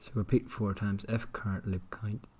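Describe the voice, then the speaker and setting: Somewhat breathy, a man talks at a fairly slow pace with a fairly low pitch. His intonation stays fairly even. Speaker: indie game developer. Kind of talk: screen-recorded development commentary.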